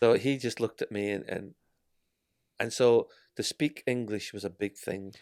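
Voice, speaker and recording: In a Scottish accent, the speaker moves at a moderate pace with ordinary pitch variation and long, frequent pauses, on a very clean recording with a silent background and a dry, close sound with no echo. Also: man, medium pitch for a man. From Scotland. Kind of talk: testimony.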